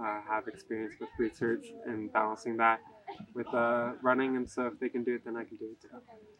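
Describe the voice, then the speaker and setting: With an American accent, a man talks at a fairly quick pace in a flat monotone, the sound dry with no echo and background noise noticeable. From California. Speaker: college runner. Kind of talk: interview. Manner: casual, with many fillers. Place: waterside.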